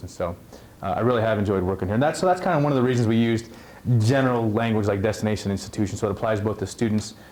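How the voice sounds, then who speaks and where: Very fast delivery with ordinary pitch variation. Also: man. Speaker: college administrator. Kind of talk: presentation at orientation. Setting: room with live audience.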